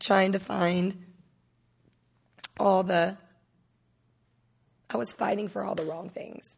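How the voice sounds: A woman with a raspy, slightly husky voice at medium pitch speaks in a nervous tone with vocal fry, fairly even intonation and long, frequent pauses.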